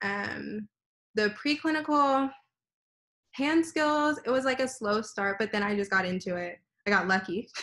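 A woman's bright, sharp tone at a fairly slow pace, broken by long, frequent pauses, against a quiet background. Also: fairly high pitch for a woman. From Texas, Houston. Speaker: dental student. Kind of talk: interview. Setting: video call. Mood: relaxed, reflective. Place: home room. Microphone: video call.

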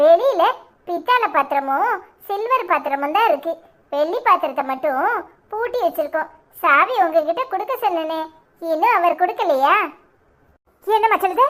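A cartoonish character voice at a fairly slow pace. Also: woman, extremely high pitch for a woman. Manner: polite, soothing.

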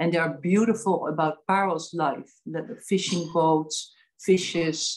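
Very slowly, a woman speaks at a fairly low pitch. Her intonation stays fairly even. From Netherlands. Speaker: artist and gallery owner; guest. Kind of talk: casual interview. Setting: video call. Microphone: video call.

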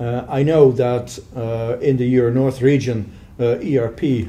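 A man speaks with a Dutch accent at a medium pitch. His tone is dark, mellow and somewhat breathy, with fairly even intonation. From Netherlands, Rotterdam area; Netherlands. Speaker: software sales manager; interviewee. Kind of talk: interview. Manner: halting. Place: meeting room. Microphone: camera far.

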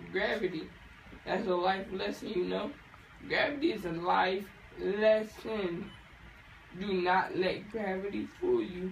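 The speech moves at a fairly slow pace with long, frequent pauses. Audible room echo and light background noise sit behind it. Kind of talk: groggy rambling chat. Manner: groggy, slurred post-anaesthesia rambling. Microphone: phone near.

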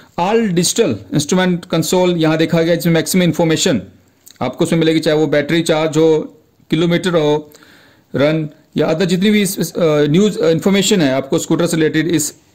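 A man with a normal speaking voice talks with ordinary pitch variation. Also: fairly high pitch for a man, very even loudness. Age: 40s. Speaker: YouTube auto news presenter. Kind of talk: casual video commentary.

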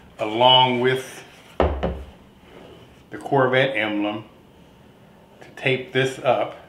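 A man with ordinary pitch variation against noticeable background noise. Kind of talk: casual tutorial vlog. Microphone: phone near.

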